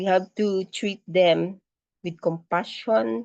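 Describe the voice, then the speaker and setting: A woman is speaking. Her pace is very slow. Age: 60s. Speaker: permaculture teacher. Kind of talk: lecture.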